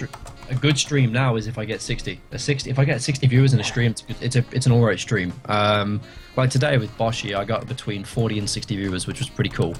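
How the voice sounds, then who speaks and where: With music in the background, a speaker with a British accent talks very fast with hardly any pauses and fairly even intonation. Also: man, medium pitch for a man. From Britain. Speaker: streamer. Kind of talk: casual chat.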